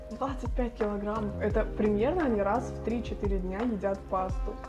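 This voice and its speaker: A woman talks fairly quickly with clear music audible behind her. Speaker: food vlogger. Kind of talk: casual vlog chat. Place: kitchen. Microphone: lapel.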